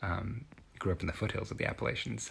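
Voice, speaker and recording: Talking at a very fast pace, a man speaks in a Kentucky accent. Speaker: video essayist. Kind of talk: casual commentary.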